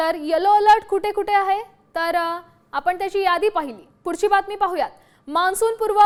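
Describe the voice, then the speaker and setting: A woman's voice with ordinary pitch variation. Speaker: news anchor. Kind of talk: news bulletin reading. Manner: formal, brisk newsreader delivery.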